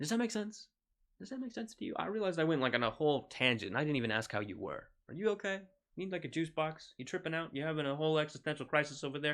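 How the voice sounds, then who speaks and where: Against a quiet background, a man speaks very fast at a fairly high pitch, his pitch swinging very widely. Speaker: video game streamer. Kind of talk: live gameplay stream chat. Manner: animated, repetitive stammering.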